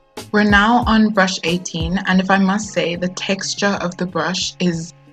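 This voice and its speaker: Over music in the background, someone with a South African accent speaks at a fairly slow pace with fairly even intonation. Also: woman. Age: 20s. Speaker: beauty youtuber. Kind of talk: product review to camera. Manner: casual, friendly.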